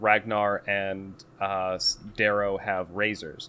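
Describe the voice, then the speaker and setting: This man speaks with a Boston accent at a fairly low pitch. His tone is bright and sharp. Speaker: podcast co-host. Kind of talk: casual chat, book recap.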